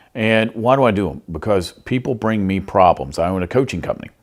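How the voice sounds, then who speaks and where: A man with a Southern US accent, fairly low pitch and a moderate pace. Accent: Southern US twang. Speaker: podcast host and behavior coach. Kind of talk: podcast monologue. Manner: casual, animated.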